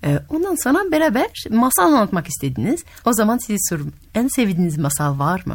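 In a French accent, a woman talks at a medium pitch with very wide pitch swings and a somewhat breathy quality. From France. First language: French (speaking Turkish). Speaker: radio host and storyteller. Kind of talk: casual interview with children; storytelling.

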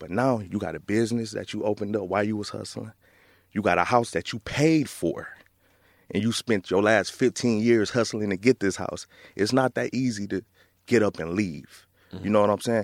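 On a very clean recording with a silent background, a man with an American accent speaks at a moderate pace in an ordinary speaking voice, fairly low in pitch with ordinary pitch variation. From Flint, Michigan. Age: 30s. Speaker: author. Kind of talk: casual interview.

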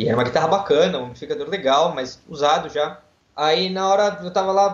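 Pitched high, the man talks with ordinary pitch variation. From Brazil, Santos (São Paulo coast). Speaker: lawyer and guitar student. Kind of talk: interview.

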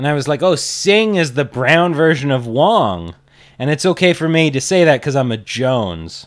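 This man speaks at a moderate pace with a fairly high pitch and very wide swings in it. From Kelowna, Canada. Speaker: stand-up comedian. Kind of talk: casual chat.

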